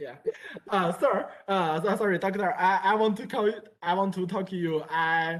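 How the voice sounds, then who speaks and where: Speaking with a Chinese accent, a woman talks at a moderate pace, her medium pitch showing ordinary variation. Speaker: university student. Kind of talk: casual chat. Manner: halting.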